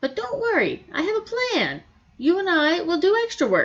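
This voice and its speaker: A woman puts on a character voice at an extremely high pitch, with very wide pitch swings. Her pace is moderate. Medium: read story. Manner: expressive Yiddish-flavored exclamations.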